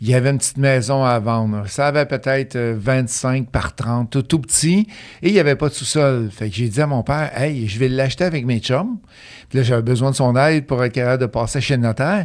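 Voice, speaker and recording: A man speaks with a slight Quebec accent at a medium pitch. He moves at a fairly quick pace with ordinary pitch variation. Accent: slight Beauce Quebec French. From Beauce, Quebec. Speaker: real estate investor and coach. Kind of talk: interview, casual conversation.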